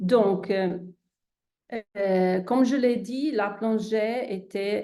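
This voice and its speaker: A woman's medium-pitched voice in an Italian accent, dark and mellow in tone, with fairly even intonation. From Italy. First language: Italian (speaking French). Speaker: endocrinologist. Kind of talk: presentation to online audience. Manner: hesitant, many fillers.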